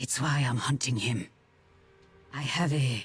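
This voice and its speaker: A put-on character voice speaks at a fairly slow pace with a calm tone and low-to-middle pitch. Music plays in the background. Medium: video game. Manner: calm, resolute.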